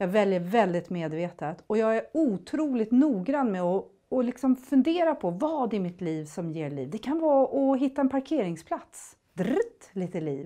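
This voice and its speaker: In a quiet background, a woman speaks at a fairly slow pace with a dark, mellow tone. Her fairly high pitch swings very widely. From grew up in Thailand, Swedish family. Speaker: motivational speaker. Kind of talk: motivational talk. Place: studio.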